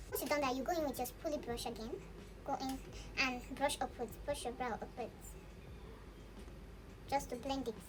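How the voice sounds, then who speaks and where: Over noticeable background noise, a woman with a high pitch speaks at a moderate pace, her intonation fairly even and her pauses long and frequent. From Nigeria. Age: 20s. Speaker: beauty vlogger. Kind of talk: tutorial.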